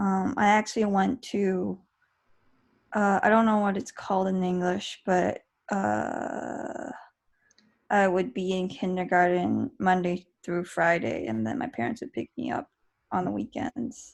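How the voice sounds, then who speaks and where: A woman at a medium pitch and a fairly slow pace, against a quiet background. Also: lively intonation. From Beijing, China and Canada. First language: Mandarin Chinese. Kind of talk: casual interview chat. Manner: hesitant, many fillers and restarts.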